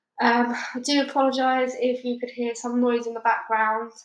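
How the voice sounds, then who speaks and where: A woman's fairly high voice in a British accent, monotone and flat, at a moderate pace. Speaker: audiobook reader. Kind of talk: casual chat; reading aloud. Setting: at home.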